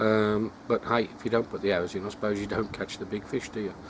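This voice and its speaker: Speaking at a fairly quick pace, a man with an English accent has a fairly low pitch. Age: 60s. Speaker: carp angling vlogger. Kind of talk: casual vlog monologue. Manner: hesitant, many fillers.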